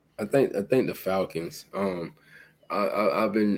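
This man has an unremarkable speaking voice, pitched fairly low. He talks at a moderate pace with ordinary pitch variation. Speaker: sports podcast co-host. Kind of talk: casual chat.

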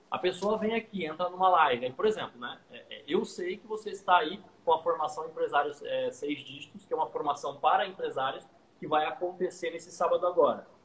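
A man speaks at a fairly quick pace with a high pitch and ordinary pitch variation, and noticeable background noise can be heard. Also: big swings in loudness. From Santos, São Paulo coast, Brazil. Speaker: digital marketing agency owner. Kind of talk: casual interview chat.

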